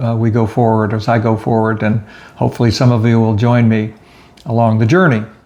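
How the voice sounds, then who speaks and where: A man speaks at a medium pitch with an American accent and fairly even intonation. Noticeable background noise runs under his voice. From South Florida. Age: 70s. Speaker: retired crime scene investigator, genealogy researcher. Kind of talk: casual talk to camera.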